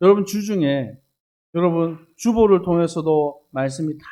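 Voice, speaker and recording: A man's high-pitched voice with a dark, mellow tone, lively intonation and a moderate pace against a quiet background. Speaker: missionary pastor. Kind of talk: sermon with consecutive interpretation. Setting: church.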